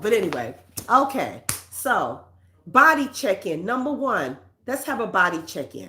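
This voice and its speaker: The voice swings very widely in pitch, in a New York accent. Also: woman. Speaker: counselor and self-help host. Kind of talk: self-help talk.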